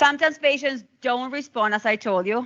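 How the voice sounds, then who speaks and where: A woman is speaking. She has a non-native accent. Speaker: physician. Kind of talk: lecture. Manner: fast.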